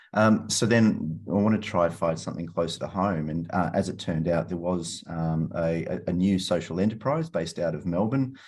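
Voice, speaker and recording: A man with an Australian accent, very deep and low in pitch, fairly quick and with hardly any pauses, over a quiet background. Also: ordinary pitch variation. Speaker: environmental entrepreneur. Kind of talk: interview.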